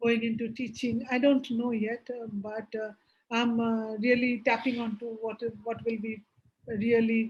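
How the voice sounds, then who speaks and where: A woman speaks with a Bengali accent, somewhat breathy and in a monotone, flat intonation. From India, Bihar. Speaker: business executive, board advisor. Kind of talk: interview. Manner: hesitant, many fillers.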